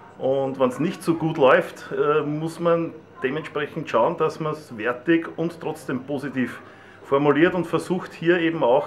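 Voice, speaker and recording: Noticeable background noise sits behind a man's speech. He talks at a fairly slow pace with fairly even intonation. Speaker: stadium announcer. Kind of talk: interview answer.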